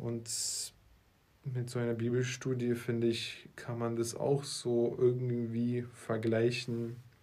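A dark, mellow tone at a very slow pace, with monotone, flat intonation and audible room echo. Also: man, medium pitch for a man. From Russia (Moscow), then Berlin. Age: 20s. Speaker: marketing entrepreneur, podcast co-host. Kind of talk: casual chat.

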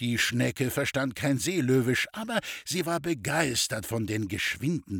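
The recording is very clean, silent and dry, close with no echo, as a man with an animated tone and medium pitch moves at a fairly slow pace through very wide pitch swings. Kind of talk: literary audiobook reading of a satirical short story, narrated with dry irony. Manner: slightly animated, shifting tone for the characters' dialogue.

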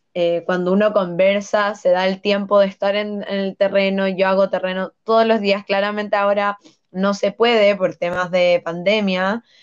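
In an ordinary speaking voice, a woman talks at a moderate pace and medium pitch. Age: 20s. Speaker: political candidate and law student. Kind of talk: interview.

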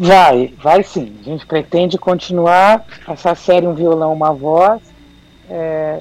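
A woman speaks very slowly at a fairly low pitch, with noticeable background noise. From São Paulo city, Brazil. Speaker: independent singer. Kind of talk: radio interview.

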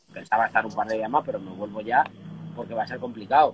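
Noticeable background noise is present. Over it, a man speaks very fast. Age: young. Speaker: guitarist and music industry consultant. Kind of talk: casual interview chat.

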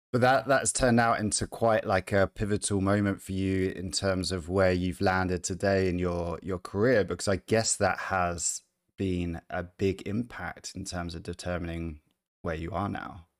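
This man's pitch sits very deep and low, with fairly even intonation. The recording is very clean and dry, close-miked with no echo and a silent background. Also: moderate pace. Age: 30s. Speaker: podcast host. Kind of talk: casual chat. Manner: halting.

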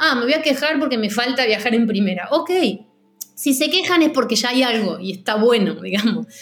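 A woman's high-pitched, lively voice at a moderate pace, with audible room echo. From Argentina. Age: 40s. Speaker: music industry coordinator. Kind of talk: interview. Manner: halting.

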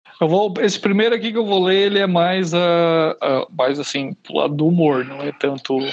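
Against noticeable background noise, a man with a high pitch and ordinary pitch variation speaks at a moderate pace with hardly any pauses. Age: 30s. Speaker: horror fiction writer. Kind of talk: casual interview.

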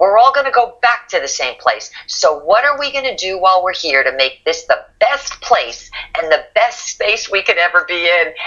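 With an American accent, a woman speaks at a moderate pace with hardly any pauses, her fairly high pitch swinging very widely. Noticeable background noise runs underneath. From northern New Jersey. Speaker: author and motivational speaker. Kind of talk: interview.

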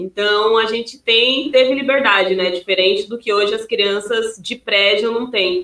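A woman with a plain, everyday voice speaks at a fairly slow pace with hardly any pauses, her fairly high pitch carried in fairly even intonation. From Piauí, Brazil. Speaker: youtuber, guest's wife. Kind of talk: casual chat.

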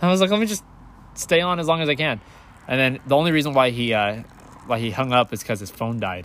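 A man's medium-pitched voice at a very fast pace, with very wide pitch swings and long, frequent pauses. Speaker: podcast host. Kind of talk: casual interview chat.

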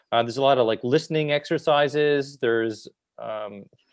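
The pace is moderate and the intonation fairly even, set against a quiet background. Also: man. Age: 40s. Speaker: natural vision educator and documentary filmmaker. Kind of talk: casual interview. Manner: halting, many fillers and repetitions.

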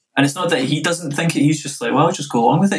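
A man with a west of Scotland accent speaks at a very fast pace. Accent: west of Scotland Scottish. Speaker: DJ and music producer. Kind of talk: casual interview.

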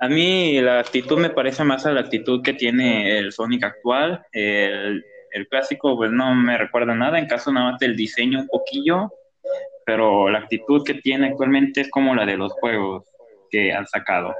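Someone speaks at a moderate pace with a Mexican accent. Pitch variation is ordinary. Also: man, medium pitch for a man. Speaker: gaming podcast co-host. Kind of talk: casual chat.

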